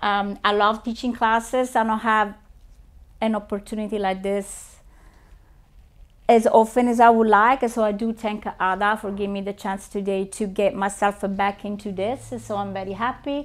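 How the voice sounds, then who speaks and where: A woman's fairly high voice with an Italian accent, flat and monotone, at a moderate pace. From Italy. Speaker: realtor and presenter. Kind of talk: training presentation.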